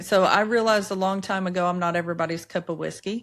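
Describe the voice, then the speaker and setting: A woman talks with a strong Southern US accent at a medium pitch. Her moderate pace comes through a very clean recording with a silent background. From US South, Appalachia, Upper East Tennessee. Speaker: podcast host, entrepreneur. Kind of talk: interview conversation.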